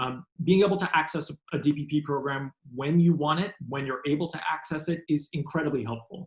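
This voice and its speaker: A man talks at a fairly quick pace in a fairly high, somewhat breathy voice. His intonation stays fairly even. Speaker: health program presenter. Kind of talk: webinar presentation. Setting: online webinar. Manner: fast; halting, many fillers.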